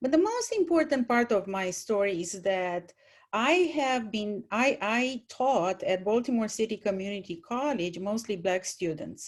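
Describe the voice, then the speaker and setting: Speaking at a fairly slow pace, a woman with a Romanian accent uses a fairly high pitch and lively intonation. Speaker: former college teacher, panelist. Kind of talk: panel talk, personal story.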